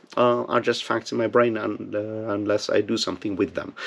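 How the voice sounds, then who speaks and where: This man speaks with a non-native accent. He keeps a moderate pace. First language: not English. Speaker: booktube video host. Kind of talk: casual monologue to camera. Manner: hesitant, many fillers and repeats.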